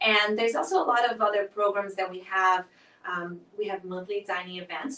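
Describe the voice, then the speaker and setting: Here a woman speaks with a Portuguese accent. Her pitch sits in the medium range. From southern Brazil. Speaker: nonprofit festival director. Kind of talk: interview conversation.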